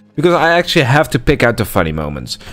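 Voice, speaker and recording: Noticeable background noise fills the clip. A man speaks with very wide pitch swings. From Netherlands. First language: Dutch. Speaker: gaming YouTuber. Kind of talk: let's play commentary. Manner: frequent filler words (uh, um); casual, slightly halting.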